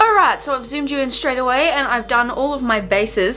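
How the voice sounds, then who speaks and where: Noticeable background noise behind a woman with an Australian accent, fairly quick in pace, with ordinary pitch variation. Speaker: beauty vlogger. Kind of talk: makeup tutorial with casual chat. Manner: chatty, casual.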